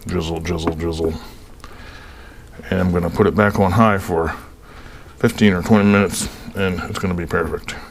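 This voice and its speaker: Amid noticeable background noise, a man with a very deep, low pitch talks at a fairly quick pace, broken by long, frequent pauses. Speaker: home cooking video host. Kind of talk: casual cooking tutorial. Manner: casual, chatty; mumbling.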